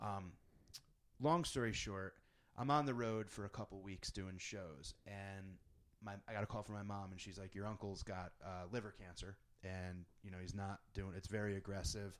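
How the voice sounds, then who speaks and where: A man with a plain, everyday voice and an American accent speaks at a moderate pace, with a fairly low pitch and fairly even intonation. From Connecticut, suburb of New Haven. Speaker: podcast host and comedian. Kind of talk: casual chat. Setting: in person in the East Village.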